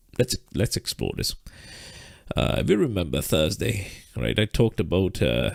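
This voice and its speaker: A man speaks at a moderate pace with long, frequent pauses and very wide pitch swings. His very deep, low voice has vocal fry, recorded dry and close with no echo. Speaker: trading teacher. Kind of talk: live stream lesson. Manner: halting, repetitive fillers.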